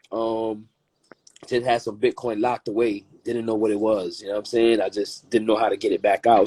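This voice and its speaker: Dry and close with no echo, a man's dark, mellow voice holds a medium pitch and monotone, flat intonation at a moderate pace. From Flatbush, Brooklyn, New York. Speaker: crypto investor. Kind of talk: casual interview chat.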